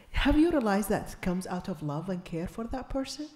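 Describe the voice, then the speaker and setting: A woman's lively intonation carries at a moderate pace while background noise is noticeable throughout. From Iraq. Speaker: invited speaker, activist. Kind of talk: panel discussion.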